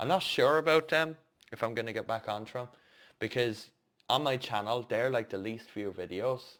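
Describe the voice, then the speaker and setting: Heard in a very clean recording with a silent background, a man with an Irish accent speaks at medium pitch with ordinary pitch variation. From Ireland. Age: 30s. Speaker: stairlift and mobility scooter technician, vlogger. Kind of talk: casual vlog update. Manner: casual, with hesitations.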